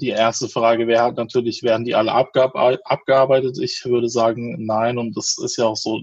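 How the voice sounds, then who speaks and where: Speaking at a moderate pace and a medium pitch, a man keeps a monotone, flat intonation with hardly any pauses. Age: 30s. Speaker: sex educator and pregnancy counselor. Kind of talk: interview.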